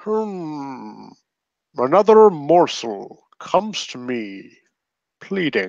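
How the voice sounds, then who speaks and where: A man's put-on character voice, fairly high in pitch with very wide pitch swings, very slow pace and long, frequent pauses. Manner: pleading, ominous.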